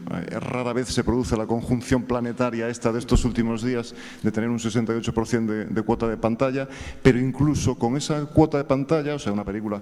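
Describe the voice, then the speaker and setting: In a Galician accent, a man talks at a very fast pace with fairly even intonation. His medium-pitched voice has a dark, mellow tone. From Galicia, Spain. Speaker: screenwriter. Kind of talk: audience question at panel. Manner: hesitant, many fillers.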